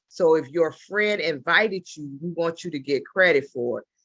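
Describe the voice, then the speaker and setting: A woman speaks in an ordinary speaking voice, fairly low-pitched for a woman, at a moderate pace with ordinary pitch variation. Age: 60s. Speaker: travel business ambassador, former government worker. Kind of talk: business opportunity pitch on video call. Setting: video call.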